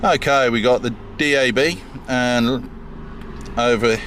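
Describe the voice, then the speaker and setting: Against noticeable background noise, a man speaks with a British accent. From UK. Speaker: car owner vlogger. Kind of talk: casual car walkaround review. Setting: in and around a parked car. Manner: halting, many fillers.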